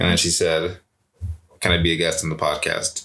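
In a very clean recording with a silent background, the voice has a bright, sharp tone and a moderate pace. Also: man. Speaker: podcast co-host. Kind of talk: casual conversation.

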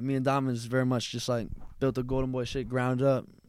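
An unremarkable speaking voice: a man with an American accent, medium pitch, and a fairly quick pace. The recording is very clean with a silent background. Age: 20s. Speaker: rapper. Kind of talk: casual interview chat. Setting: in-person studio.

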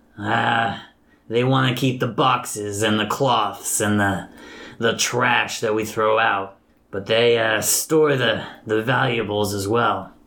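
The voice is a put-on character voice. It sounds raspy. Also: man. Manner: calm, smug, matter-of-fact.

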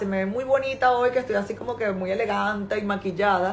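The speaker has a Venezuelan accent. Noticeable background noise runs underneath. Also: woman. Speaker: importing business owner and author. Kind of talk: live stream talk to followers.

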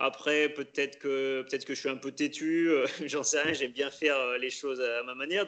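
A man speaks in a fairly high voice at a moderate pace. His intonation stays fairly even. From France, Loire (Pilat, near Saint-Étienne). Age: 30s. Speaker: elite orienteering athlete. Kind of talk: interview. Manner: halting.

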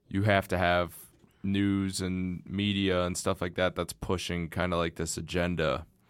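Over music in the background, a man speaks in a very deep, low pitch with monotone, flat intonation. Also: fairly slow pace. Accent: American. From Southeast Michigan (Ann Arbor). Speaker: podcast host. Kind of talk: casual chat.

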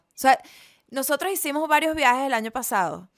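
A woman with a Venezuelan accent speaks at a moderate pace. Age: 30s. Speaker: comedian. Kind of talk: casual chat.

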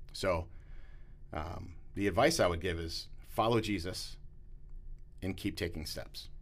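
A somewhat breathy, fairly low male voice at a fairly slow pace, with ordinary pitch variation, long, frequent pauses and audible room echo. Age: 40s. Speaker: pastor. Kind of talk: casual interview.

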